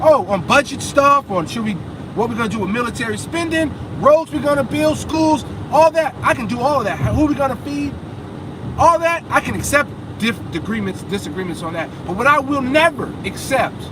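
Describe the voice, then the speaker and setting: Loud and animated, a man speaks at a fairly quick pace in an extremely high pitch with very wide pitch swings, over noticeable background noise. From USA. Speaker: vlogger. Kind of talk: casual vlog rant while driving. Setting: in a car.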